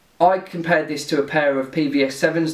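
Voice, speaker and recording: There is audible room echo around a man's speech. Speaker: gear reviewer. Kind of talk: casual product review vlog. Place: home room.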